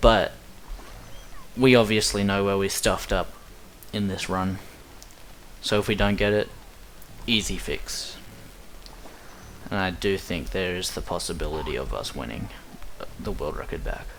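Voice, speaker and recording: A man with an Australian accent speaks with long, frequent pauses. Room echo is audible. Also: moderate pace. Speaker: speedrunner. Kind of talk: gameplay commentary. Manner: casual, rambling commentary.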